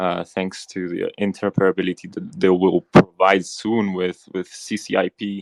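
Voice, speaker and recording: A man speaks at a very deep, low pitch in a dry, close sound with no echo. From Spain, Barcelona. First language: Spanish. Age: 20s. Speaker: crypto investor. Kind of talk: casual chat. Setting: audio chat room. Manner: halting.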